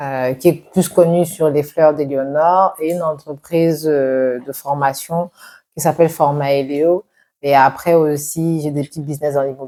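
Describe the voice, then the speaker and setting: Speaking fairly slowly, a woman uses a very deep, low pitch and a dark, mellow tone with fairly even intonation. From Cameroon. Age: 40s. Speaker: entrepreneur. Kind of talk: interview.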